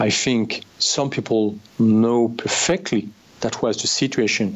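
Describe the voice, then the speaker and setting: Someone with a French accent talks at a fairly slow pace with ordinary pitch variation and very even loudness over noticeable background noise. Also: man, medium pitch for a man. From France. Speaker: former army officer. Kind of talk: interview. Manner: halting.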